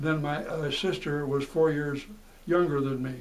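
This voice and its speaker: Amid noticeable background noise and audible room echo, a man with an American accent and a fairly high pitch speaks at a fairly slow pace with fairly even intonation. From Seattle, US Pacific Northwest. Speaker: war veteran, retired teacher. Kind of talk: oral history interview. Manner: halting.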